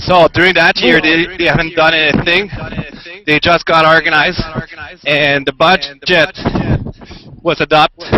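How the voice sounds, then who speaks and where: Amid noticeable background noise, a man with a French-Canadian accent and a fairly high pitch speaks in a monotone, flat way at a very even loudness, with long, frequent pauses. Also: moderate pace. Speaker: citizen reporter at a street protest. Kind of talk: live street reporting. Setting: outdoors at a street protest. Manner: halting. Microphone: laptop with 4G stick.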